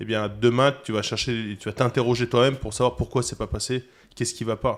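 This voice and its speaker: A man at medium pitch, fairly quick and monotone with flat intonation, on a very clean recording with a silent background. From Toulon, southern France. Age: 30s. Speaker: chef, cooking competitor. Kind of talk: podcast interview. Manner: hesitant, many fillers.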